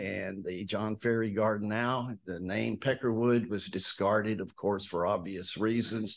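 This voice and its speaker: A man with an American accent talks fairly slowly, barely pausing. His pitch is fairly low, and the background is quiet. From East Texas. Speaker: horticulture professor. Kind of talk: lecture. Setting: hotel event room with audience.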